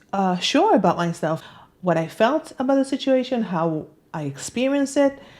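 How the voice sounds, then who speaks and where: Speaking at a moderate pace, a woman uses a fairly high pitch and a dark, mellow tone, with very wide pitch swings. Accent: non-native. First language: not English. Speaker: self-help author and video host. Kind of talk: personal talk to camera. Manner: halting, many fillers.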